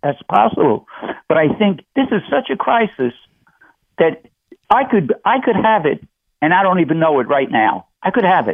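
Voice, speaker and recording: Long, frequent pauses break up a man's speech at a moderate pace. His pitch is high, with very wide swings, and his loudness stays very even. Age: 80s+. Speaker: radio caller. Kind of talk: call-in radio show. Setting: phone call.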